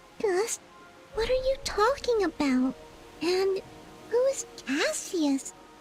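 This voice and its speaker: A put-on character voice at an extremely high pitch swings very widely and moves at a fairly slow pace. Clear music plays in the background. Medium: machinima.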